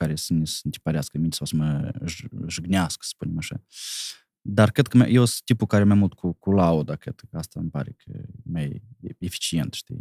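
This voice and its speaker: A man's very deep, low voice with lively intonation at a moderate pace, dry with no echo, against a quiet background. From Moldova (Cahul); Moldova. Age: 30s. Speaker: comedian; comedian guest. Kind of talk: casual chat. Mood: relaxed, reflective. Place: studio. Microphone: studio mic.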